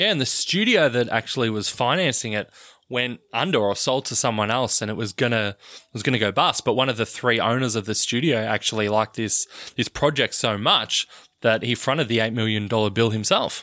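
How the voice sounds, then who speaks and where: Fairly quick speech in an Australian accent, bright and sharp, with ordinary pitch variation, a dry, close sound with no echo, and a very clean recording with a silent background. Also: man, medium pitch for a man. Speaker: podcast host. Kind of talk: casual chat.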